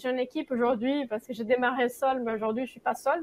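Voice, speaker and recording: A woman with a non-native accent speaks at a high pitch. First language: not French (speaking French). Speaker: association founder and circle leader. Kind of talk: talk-show interview. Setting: studio. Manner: hesitant, many fillers.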